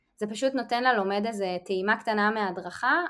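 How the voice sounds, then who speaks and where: An unremarkable speaking voice moves at a moderate pace with ordinary pitch variation, captured in a very clean recording against a silent background. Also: woman. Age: 30s. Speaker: podcast co-host, instructional designer. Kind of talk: casual interview answers.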